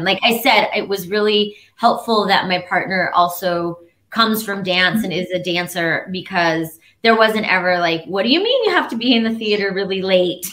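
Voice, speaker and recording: A woman's bright, sharp tone at medium pitch, with ordinary pitch variation and a moderate pace. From Albuquerque, New Mexico. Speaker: dancemaker and dance company director. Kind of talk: interview answer.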